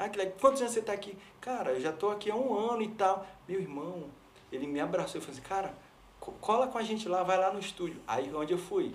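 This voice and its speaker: With lively intonation and a high pitch, a man talks at a very fast pace amid audible room echo and noticeable background noise. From São Luís, Maranhão, Brazil. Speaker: pastor and worship leader. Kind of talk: interview testimony.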